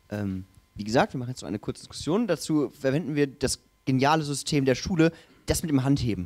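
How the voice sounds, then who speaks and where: Over faint background music, a man speaks at a very fast pace with lively intonation. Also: fairly high pitch for a man. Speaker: session moderator. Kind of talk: moderating Q&A. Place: hall. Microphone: handheld.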